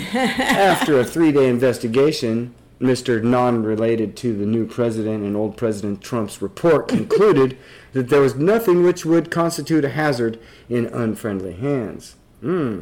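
Here is a man with an American accent and a plain, everyday voice. He speaks at a medium pitch and a moderate pace with lively intonation. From Nebraska. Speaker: podcast host. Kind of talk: casual discussion.

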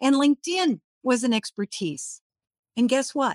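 In an American accent, a woman speaks fairly slowly in a high voice with lively intonation, the sound dry and close with no echo over a quiet background. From Minnesota. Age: 60s. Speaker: LinkedIn coach. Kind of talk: online workshop presentation. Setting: live online session.

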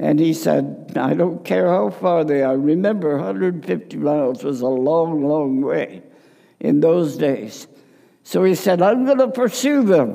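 A man speaks at a fairly slow pace, his dark, mellow tone moving through very wide pitch swings. Audible room echo fills the recording. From Congo (missionary upbringing). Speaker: preacher. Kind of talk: sermon. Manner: loud.

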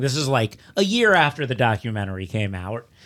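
Fairly quick and medium-pitched, a man speaks. The recording is very clean, with a silent background. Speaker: podcast host and comedian. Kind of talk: casual chat. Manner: loud talker.

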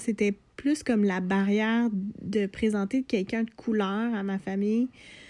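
In a Quebec accent, a woman speaks at a fairly slow pace with fairly high pitch and a dark, mellow tone. Her intonation stays fairly even against a quiet background. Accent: Québécois French. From Quebec, Lanaudière region. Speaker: podcast co-host. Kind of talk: casual chat. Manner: halting.

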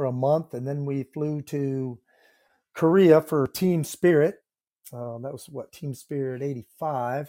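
On a very clean recording with a silent background, a man with an American accent speaks in a dark, mellow tone at fairly high pitch, with big swings in loudness. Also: dry, close sound with no echo. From US Midwest, northeast Iowa. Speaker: retired Marine sergeant major. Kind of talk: interview, life story. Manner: halting, frequent fillers.

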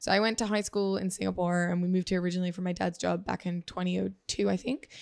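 Against a quiet background, a woman with a medium pitch talks at a very fast pace. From Asia, third culture kid. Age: 30s. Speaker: entrepreneur and sustainability advocate. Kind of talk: casual interview. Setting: at home.

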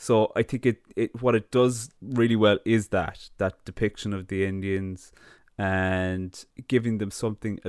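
A man talks in a plain, everyday voice, fairly low in pitch with fairly even intonation. The sound is dry and close with no echo, on a very clean recording with a silent background. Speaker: film podcast host. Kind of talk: casual chat, film retrospective.

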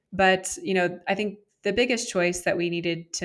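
A woman with fairly low pitch and fairly even intonation is heard on a very clean recording with a silent background. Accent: American. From US West Coast, San Jose, California. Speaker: startup founder and CEO. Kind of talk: interview.

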